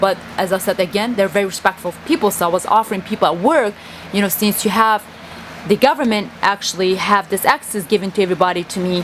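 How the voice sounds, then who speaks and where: A woman speaks at a very fast pace, medium in pitch with ordinary pitch variation. Noticeable background noise is present. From Kurdistan. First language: Kurdish. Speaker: vlogger. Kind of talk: personal monologue vlog. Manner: halting.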